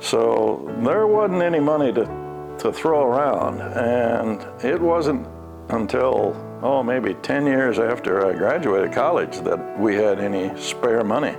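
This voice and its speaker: Music plays behind a voice in an American accent that moves at a fairly slow pace, with very wide pitch swings and very even loudness. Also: man, medium pitch for a man. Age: 80s+. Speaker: grandfather, retiree. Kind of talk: oral history interview answer.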